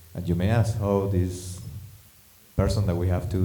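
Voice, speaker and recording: With audible room echo and noticeable background noise, a man speaks with a non-native accent. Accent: foreign. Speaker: stand-up comedian. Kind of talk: stand-up.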